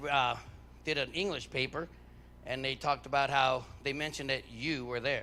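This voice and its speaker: Loud and fairly quick, a man speaks at a fairly high pitch with a bright, sharp tone. His intonation stays fairly even. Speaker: head track coach. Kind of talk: awards ceremony speech.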